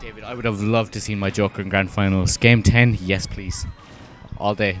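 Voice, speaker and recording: With an Irish accent, a man talks fairly quickly in a fairly low, flat monotone. Music plays in the background. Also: big swings in loudness. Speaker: esports commentator. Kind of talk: live commentary.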